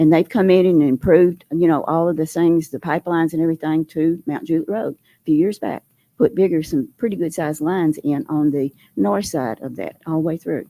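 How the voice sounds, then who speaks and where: With a Southern US accent, the dark, mellow voice moves at a fairly quick pace with ordinary pitch variation and big swings in loudness, in a very clean recording with a silent background and a dry, close sound with no echo. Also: woman, fairly low pitch for a woman. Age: 80s+. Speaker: resident speaking at public hearing. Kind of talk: public comment at meeting. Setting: public meeting hall. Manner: halting.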